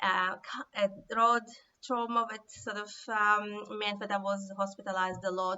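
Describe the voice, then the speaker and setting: A woman at a medium pitch, monotone and flat in intonation, at a fairly slow pace. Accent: Russian. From Siberia, former Soviet Union. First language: Russian. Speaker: author. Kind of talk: talk to camera. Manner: hesitant, many fillers.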